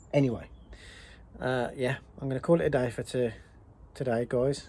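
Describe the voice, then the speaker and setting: A man's somewhat breathy voice with a British accent, dark and mellow in tone, medium in pitch, at a fairly quick pace. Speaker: car restoration vlogger. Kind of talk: workshop tutorial vlog. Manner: casual, halting.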